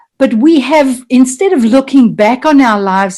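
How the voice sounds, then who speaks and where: The pace is fairly slow as a woman speaks with ordinary pitch variation. Her voice is somewhat breathy. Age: 60s. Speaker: mastermind group participant. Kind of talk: group video call sharing. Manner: halting, many fillers.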